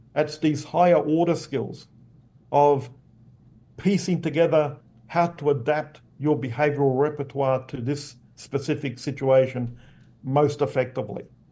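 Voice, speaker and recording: A man's somewhat breathy, fairly high voice with a dark, mellow tone, in an Australian accent at a fairly slow pace. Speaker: behavioral neuroscience professor. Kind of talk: interview explanation.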